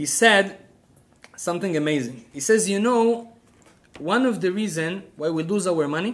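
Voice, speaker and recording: With audible room echo, a man talks in a high voice with lively intonation and an animated tone, leaving long, frequent pauses. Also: moderate pace. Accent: Israeli. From Israel. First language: Hebrew. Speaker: rabbi. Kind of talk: lecture.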